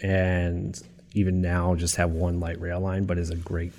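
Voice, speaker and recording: Somewhat breathy, a man with an American accent speaks with a very deep, low pitch and fairly even intonation. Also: very clean recording, silent background. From US Northeast, suburbs of Philadelphia. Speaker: city transportation official and planner. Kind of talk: interview. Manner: filler-heavy, repeats words.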